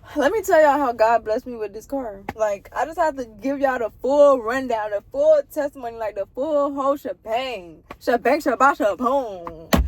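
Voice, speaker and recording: Noticeable noise sits behind the voice. Delivery comes at a moderate speed. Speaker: vlogger. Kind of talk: testimony. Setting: in a car. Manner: animated.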